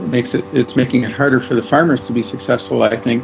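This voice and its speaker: Noticeable background noise accompanies the recording. The man's pitch varies in an ordinary way. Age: 60s. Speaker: local resident interviewed about climate change. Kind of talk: interview testimony. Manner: casual, with frequent filler words.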